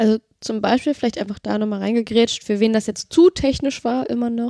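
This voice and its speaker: A woman's voice has a dark, mellow tone and a fairly high pitch. The sound is dry and close with no echo. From Berlin, Germany. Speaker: podcast co-host, web developer. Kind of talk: casual tech chat.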